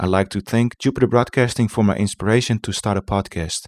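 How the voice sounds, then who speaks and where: In a Dutch accent, a man with a fairly low pitch speaks at a moderate pace on a very clean recording with a silent background. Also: dry, close sound with no echo. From Netherlands. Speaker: podcast host. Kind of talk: podcast monologue. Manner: halting.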